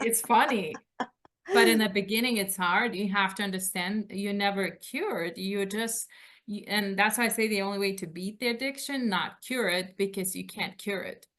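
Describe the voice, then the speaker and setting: She speaks with a Lithuanian accent. Her intonation stays fairly even. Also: medium pitch for a woman, moderate pace. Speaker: author. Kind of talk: interview.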